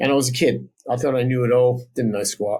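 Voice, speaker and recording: A man with an Australian accent and a medium pitch. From South Australia. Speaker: software developer and former musician. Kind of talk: interview. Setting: podcast.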